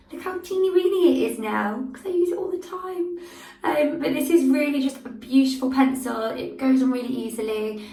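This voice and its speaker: High-pitched female speech at a moderate pace, lively in intonation with big swings in loudness, amid audible room echo and noticeable background noise. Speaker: make-up artist. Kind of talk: product review vlog.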